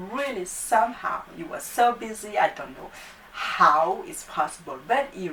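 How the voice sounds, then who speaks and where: In a non-native accent, the speaker moves at a moderate pace with very wide pitch swings while noticeable background noise runs underneath. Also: woman. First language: not English. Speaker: YouTube talk show host. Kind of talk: casual talk to camera.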